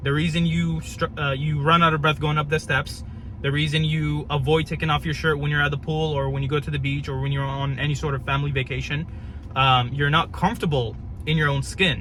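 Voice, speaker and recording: A fairly quick pace against noticeable background noise. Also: man. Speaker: fitness coach. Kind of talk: casual vlog talk. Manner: casual, slangy; halting, with restarts.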